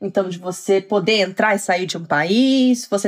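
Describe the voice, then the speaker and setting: Speaking at a moderate pace, a woman keeps a medium pitch. Her pitch variation is ordinary. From Brazil, Petrópolis (Rio de Janeiro state). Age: 30s. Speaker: HR professional, immigrant. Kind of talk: casual interview conversation.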